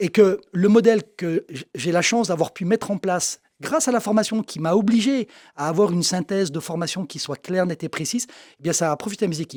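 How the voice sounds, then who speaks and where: A high-pitched man's voice with ordinary pitch variation, dry and close with no echo, in a very clean recording with a silent background. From eastern France, Jura. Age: 60s. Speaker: optician and shop owner. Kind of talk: interview. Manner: casual, conversational with fillers.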